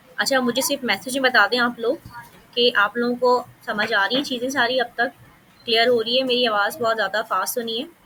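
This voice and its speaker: There is noticeable background noise behind a woman's high voice. Her intonation stays fairly even. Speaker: coding teacher. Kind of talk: live coding class. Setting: online class with screen share. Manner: fast.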